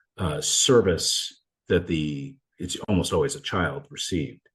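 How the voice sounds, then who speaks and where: The voice moves at a fairly slow pace with vocal fry against a quiet background. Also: man. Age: 60s. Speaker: attorney and mental health advocate. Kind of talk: interview. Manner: halting, many false starts.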